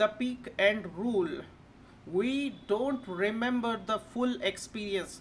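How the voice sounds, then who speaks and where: Somewhat breathy and fairly high in pitch, a woman's voice moves with lively intonation. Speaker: educational video presenter. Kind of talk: lecture. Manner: slow; halting, repetitive with frequent okay.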